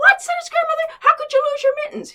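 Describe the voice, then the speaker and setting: This put-on character voice is squeaky. It has very wide pitch swings and big swings in loudness. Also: woman. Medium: read story.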